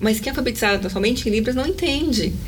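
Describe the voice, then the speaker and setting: A woman's animated tone and lively intonation at fairly high pitch, with audible room echo and noticeable background noise. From Brazil, São Paulo. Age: 40s. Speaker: inclusion entrepreneur and YouTube presenter. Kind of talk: casual interview. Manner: talkative, animated.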